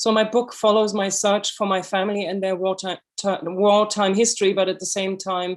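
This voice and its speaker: A woman with a German accent talks at a moderate pace, hardly pausing at all. Her medium-pitched voice stays flat and monotone. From Germany. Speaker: author and illustrator. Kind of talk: lecture. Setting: video call.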